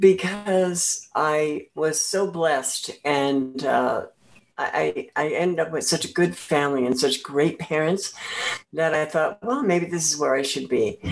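A woman with an American accent, very deep and low in pitch, speaking at a fairly slow pace with ordinary pitch variation. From central New Jersey. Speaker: former adult performer and educator. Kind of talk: casual interview chat.

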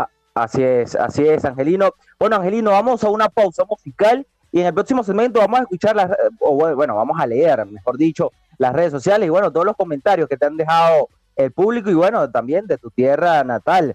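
Fairly quick speech with very wide pitch swings over music in the background. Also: man, high pitch for a man, dry, close sound with no echo. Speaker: combat sports radio host. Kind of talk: radio talk show.

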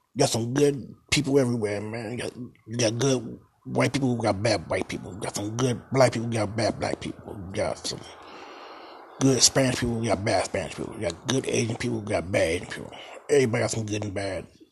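A man at medium pitch, talking at a very fast pace with ordinary pitch variation over noticeable background noise. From Baltimore, Maryland. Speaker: podcast host. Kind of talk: casual solo podcast monologue. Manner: halting, stumbling, repeats words; informal, conversational.

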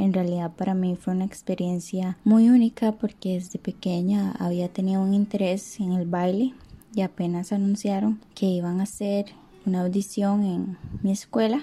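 A woman's dark, mellow, somewhat breathy voice at medium pitch, with fairly even intonation and a moderate pace. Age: 20s. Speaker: dancer. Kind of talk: testimony.

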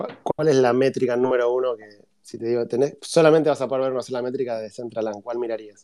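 Speaking at a fairly quick pace, a man uses fairly even intonation in a normal speaking voice. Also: medium pitch for a man. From Argentina. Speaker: podcast host. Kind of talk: interview. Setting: online audio room.

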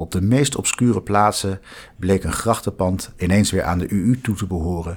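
A man speaks with a very deep, low voice at a moderate pace and with ordinary pitch variation. The recording is very clean, with a silent background. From Netherlands, The Hague. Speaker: law lecturer. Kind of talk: scripted narration.

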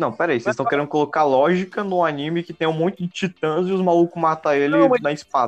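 A man speaks at a very fast pace with hardly any pauses. His fairly high pitch shows ordinary variation. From Pará, northern Brazil. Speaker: podcast co-host. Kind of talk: casual chat.

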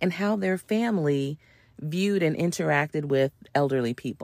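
A woman with an American accent speaks at a very deep, low pitch, her intonation lively. The recording is very clean, with a silent background and a dry, close sound with no echo. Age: under 65. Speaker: podcast host. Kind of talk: solo podcast monologue. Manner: conversational.

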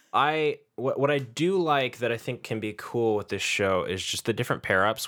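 Over a very clean recording with a silent background, a man with an American accent speaks at a fairly quick pace, bright and sharp in tone with lively intonation. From San Francisco Bay Area, US. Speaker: podcast host. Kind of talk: casual podcast chat.

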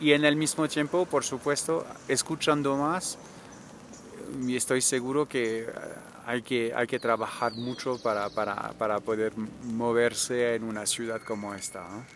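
A man's medium-pitched voice at a fairly slow pace. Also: ordinary pitch variation. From France, Normandy. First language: French (speaking Spanish). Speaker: traveler and cultural manager. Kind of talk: interview. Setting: outdoors.

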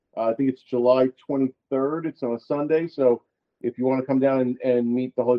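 A normal speaking voice from a man, mid-range in pitch and fairly even in intonation. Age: 40s. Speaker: co-owner of a men's grooming brand. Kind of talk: casual interview chat.

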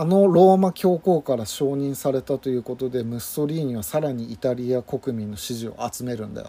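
Hardly any pauses occur. The pace is fairly quick. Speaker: podcast co-host. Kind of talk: casual chat.

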